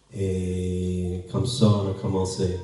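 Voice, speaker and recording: A man's very deep, low voice comes through noticeable background noise and audible room echo. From New Brunswick, Canada (anglophone). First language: English (speaking French). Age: 50s. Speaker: pastor. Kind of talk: sermon introduction. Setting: church. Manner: halting.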